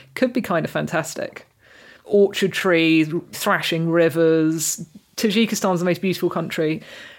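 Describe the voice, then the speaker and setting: In a southern English accent, a woman with a fairly low pitch speaks at a moderate pace. Her pitch varies in an ordinary way, and the recording is very clean with a silent background. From southern England (Reading). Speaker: journalist and food writer. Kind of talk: interview.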